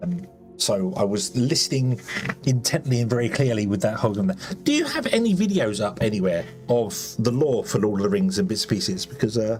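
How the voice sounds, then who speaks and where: A man with an English accent talks at a fairly quick pace and a medium pitch. His pitch swings very widely, over noticeable background noise. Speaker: streamer. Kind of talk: casual chat. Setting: live stream. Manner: fast.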